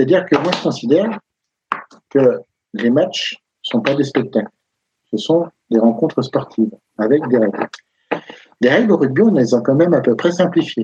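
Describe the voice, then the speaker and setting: A man's somewhat breathy voice, fairly high in pitch and dark and mellow in tone, with lively intonation, a moderate pace, long, frequent pauses, and a dry, close sound with no echo. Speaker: rugby pundit. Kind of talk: heated debate. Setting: live stream. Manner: animated.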